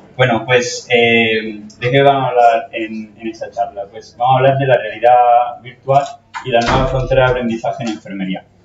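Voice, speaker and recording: There is noticeable background noise as a man delivers his words at a moderate speed. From Italy. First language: Italian (speaking Spanish). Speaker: nursing educator. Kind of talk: conference talk. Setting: stage with audience. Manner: halting, with fillers.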